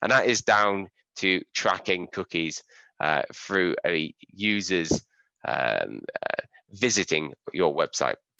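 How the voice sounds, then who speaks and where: In an English accent, a man speaks at a very slow pace, the sound dry and close with no echo over a quiet background. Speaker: SEO and digital marketing trainer. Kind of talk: webinar tutorial.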